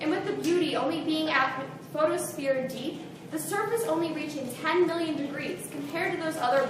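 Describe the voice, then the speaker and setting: A woman's high-pitched voice with lively intonation over noticeable background noise. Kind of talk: slam poetry reading.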